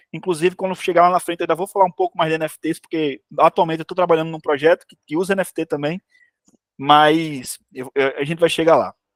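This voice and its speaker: Speaking very fast at a high pitch, a man is heard in a very clean recording with a silent background and a dry, close sound with no echo. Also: fairly even intonation, big swings in loudness. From Brazil, Ceará (Areia Branca). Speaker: game developer, studio CEO. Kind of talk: informal talk to students.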